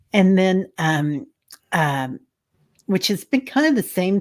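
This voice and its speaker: Speaking with a Midwestern accent, a woman moves at a fairly slow pace with very wide pitch swings. The recording is very clean, with a silent background. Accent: Midwestern twang. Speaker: intuitive spiritual guide. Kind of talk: casual chat. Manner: hesitant, many fillers.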